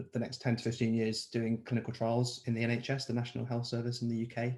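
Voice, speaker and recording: This man has a London accent and a medium pitch. His dark, mellow tone sounds somewhat breathy. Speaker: clinical researcher and children's author. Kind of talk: panel introduction.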